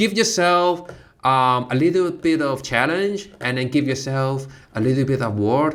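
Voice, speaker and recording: Speaking fairly slowly in a Cantonese accent, a man uses lively intonation at a medium pitch. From Hong Kong. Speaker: comedy student. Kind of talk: casual chat. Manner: halting.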